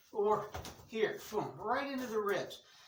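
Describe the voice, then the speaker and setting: Over noticeable background noise and audible room echo, a woman speaks at a medium pitch and a fairly slow pace, with ordinary pitch variation. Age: 60s. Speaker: martial arts instructor. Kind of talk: tutorial. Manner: casual, repetitive instructional pacing.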